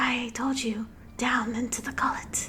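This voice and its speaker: A put-on character voice that sounds female, pitched high for a woman. She talks at a moderate pace. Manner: creepy, unsettling.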